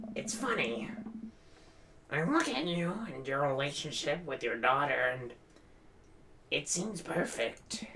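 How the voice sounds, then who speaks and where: In a put-on character voice with lively intonation, the speaker goes at a fairly slow pace with long, frequent pauses over clear background noise. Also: man, fairly high pitch for a man. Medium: game stream. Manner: brooding, low-key, resigned.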